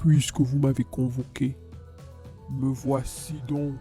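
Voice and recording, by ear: A booming, put-on character voice at a low-to-middle pitch goes at a very slow pace over faint background music.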